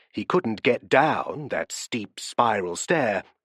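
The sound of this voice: Lively intonation marks the delivery. It comes in an unforced reading voice.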